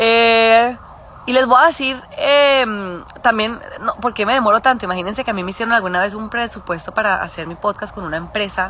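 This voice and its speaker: A woman with a fairly high voice speaks with ordinary pitch variation and big swings in loudness over noticeable background noise. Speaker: podcast host and adoptive mother. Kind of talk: casual live stream chat. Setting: outdoors in garden, Instagram live. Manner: fast.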